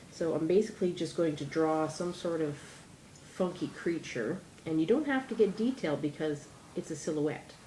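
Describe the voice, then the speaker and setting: Here is a woman with a normal speaking voice and fairly low pitch. Her intonation is lively and her pace moderate. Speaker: DIY crafts vlogger. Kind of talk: tutorial. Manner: chatty, rambling.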